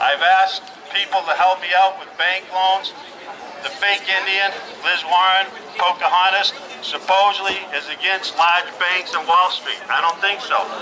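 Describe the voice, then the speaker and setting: A man with an American accent speaks at a fairly slow pace, high in pitch with fairly even intonation. Noticeable background noise can be heard. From US Midwest, Lakota Sioux reservation. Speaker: business owner. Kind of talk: political rally speech. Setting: outdoors.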